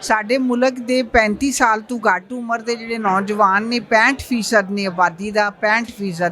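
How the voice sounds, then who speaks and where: The speaker keeps a fairly even intonation and hardly pauses at all. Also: woman, fairly high pitch for a woman. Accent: Punjabi. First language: Punjabi (speaking Hindi). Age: 60s. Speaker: activist. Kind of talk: press interview. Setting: press club.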